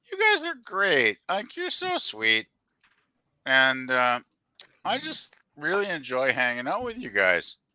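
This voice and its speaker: A man's very slow speech broken by long, frequent pauses. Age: 60s. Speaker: stream panelist. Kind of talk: casual chat. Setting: online stream, no camera.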